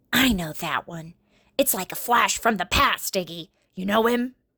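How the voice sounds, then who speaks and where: This is a put-on character voice, female-sounding and raspy. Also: medium pitch for a woman, moderate pace. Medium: read story. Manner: talks out of the side of her mouth, ungrammatical.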